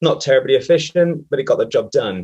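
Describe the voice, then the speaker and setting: This man, with a British accent, speaks at a fairly quick pace. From UK. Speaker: systems engineer. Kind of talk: webinar presentation.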